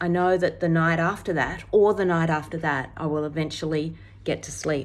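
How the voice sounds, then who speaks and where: A woman talks in an unremarkable speaking voice, pitched fairly low. Her intonation stays fairly even. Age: 60s. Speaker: retired eye doctor. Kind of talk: casual talk to camera.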